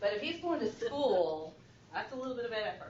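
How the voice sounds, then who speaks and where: Very wide pitch swings from a woman with a fairly high voice, amid noticeable background noise and audible room echo. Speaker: school administrator presenting to education board. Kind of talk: presentation.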